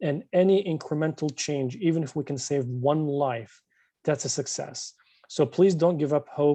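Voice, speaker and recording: A man with a non-native accent speaks with a dark, mellow tone at a fairly high pitch with ordinary pitch variation. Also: moderate pace. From born overseas. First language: not English. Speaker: state legislator. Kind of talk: closing remarks at online community meeting. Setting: video call.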